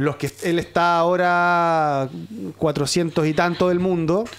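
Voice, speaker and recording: A man's high-pitched voice with fairly even intonation. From southern Chile, Osorno; southern Chile. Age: 40s. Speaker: sports journalist. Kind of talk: casual chat. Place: studio. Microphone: studio mic.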